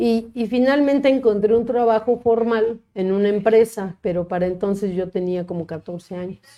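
With a normal speaking voice, a woman speaks at a fairly high pitch and moderate pace, with ordinary pitch variation and hardly any pauses. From Mexico, Cuernavaca. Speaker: lawyer and public official. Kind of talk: casual interview.

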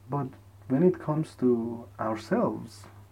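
The voice is somewhat breathy with a dark, mellow tone. It moves at a very slow pace with ordinary pitch variation. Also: man. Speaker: solo podcaster. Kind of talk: casual monologue. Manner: halting, repeats words.

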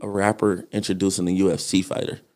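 This man has a fairly low voice and talks with an American accent. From Detroit, Michigan. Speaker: actor and musician. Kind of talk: casual interview chat. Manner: animated.

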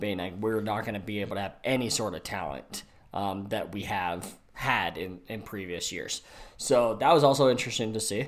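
With an American accent, a man speaks at a moderate pace in a fairly low pitch with ordinary pitch variation, a plain, everyday voice. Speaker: NFL podcast co-host, software engineer. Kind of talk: casual sports chat.

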